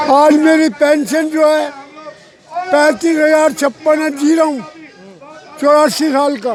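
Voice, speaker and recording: An angry man's extremely high voice with fairly even intonation and long, frequent pauses, crowd noise in the background. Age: 80s+. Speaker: retired government employee, protester. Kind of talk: street interview. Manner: angry, forceful.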